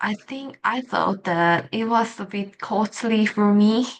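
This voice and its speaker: Against a quiet background, a woman with a non-native accent speaks at a very slow pace. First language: not English. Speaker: English learner vlogger. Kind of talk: casual monologue vlog. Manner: halting, with self-corrections.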